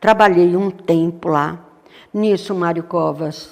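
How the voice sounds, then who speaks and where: Ordinary pitch variation marks this very slowly paced speech. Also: woman. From Brazil, São Paulo state interior. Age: 70s. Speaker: retired educator. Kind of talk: interview.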